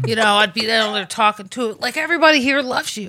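With an American accent, the speaker talks at a very fast pace in a bright, sharp tone with ordinary pitch variation. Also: woman. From Washington DC. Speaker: podcast co-host. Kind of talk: casual chat. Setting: studio.

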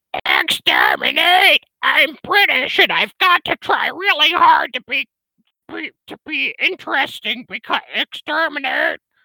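A man puts on a character voice that is shrill and extremely high in pitch. He moves at a fairly slow pace. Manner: shrill, shouting.

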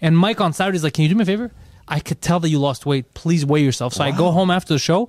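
A high-pitched man talks very fast with ordinary pitch variation and very even loudness, in a very clean recording with a silent background and a dry, close sound with no echo. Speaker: stand-up comedian and podcaster. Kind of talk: casual chat. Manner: animated.

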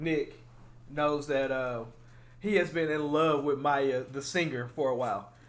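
Audible room echo surrounds a man who speaks at a fairly high pitch and a fairly slow pace with ordinary pitch variation. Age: 20s. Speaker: podcast host. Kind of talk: casual chat.

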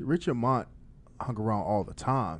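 This man has an ordinary speaking voice and an American accent. He talks at a medium pitch and a moderate pace. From Farrell, Pennsylvania. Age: 40s. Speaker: podcast co-host and DJ. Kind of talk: casual interview. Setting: studio.

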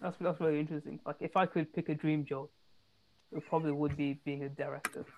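With a British accent, a woman speaks in a very deep, low pitch. She talks very fast against a quiet background. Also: fairly even intonation. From England. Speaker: podcast co-host. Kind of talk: casual chat. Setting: video call.

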